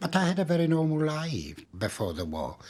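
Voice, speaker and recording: A man's somewhat breathy voice comes through on a very clean recording, the background silent. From Poland. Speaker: Holocaust survivor. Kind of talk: interview.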